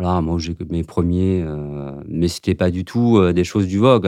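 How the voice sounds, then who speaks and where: A man talks at a moderate pace in a very deep, low voice, his intonation fairly even against noticeable background noise. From France, Paris suburbs. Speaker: fashion designer. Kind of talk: casual chat. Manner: halting.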